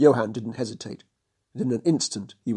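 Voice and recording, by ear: The voice is reading aloud in a natural voice, with ordinary pitch variation. The background is quiet.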